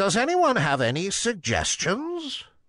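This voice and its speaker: A put-on character voice from a man, high-pitched, at a fairly slow pace. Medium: read story. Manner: authoritative hooting.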